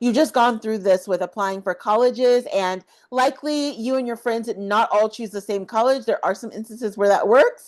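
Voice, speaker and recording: An unremarkable speaking voice from a woman, fairly high in pitch with ordinary pitch variation, at a moderate pace with hardly any pauses. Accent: American. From US South. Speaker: study abroad advisor, YouTuber. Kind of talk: tutorial. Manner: casual, conversational.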